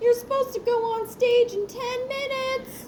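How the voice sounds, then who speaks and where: A female-sounding, squeaky put-on character voice at an extremely high pitch moves at a moderate pace with monotone, flat intonation, over clear background noise. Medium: read story. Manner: smug, composed.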